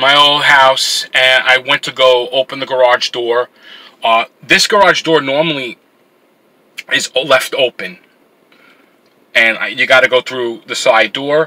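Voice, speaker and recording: Delivery runs fairly slow. Pitch moves up and down in an ordinary way. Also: man. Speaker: vlogger. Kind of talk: casual vlog chat. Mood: frustrated, annoyed. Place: car. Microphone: phone near.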